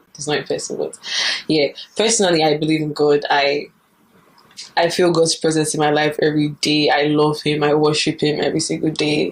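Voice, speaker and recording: A woman's very deep, low voice with fairly even intonation at a fairly quick pace. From Nigeria. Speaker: YouTuber. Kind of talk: casual talk to camera.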